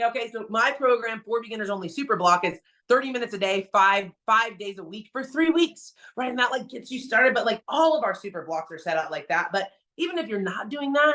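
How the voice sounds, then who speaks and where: Talking at a fairly quick pace, a woman uses a bright, sharp tone at a fairly high pitch with lively intonation. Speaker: fitness trainer. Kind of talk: motivational talk. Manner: fast; animated.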